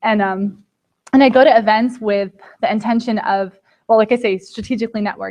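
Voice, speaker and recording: With an American accent, a woman speaks at a fairly high pitch with ordinary pitch variation. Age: 20s. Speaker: lawyer and podcaster. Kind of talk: talk to students. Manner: animated.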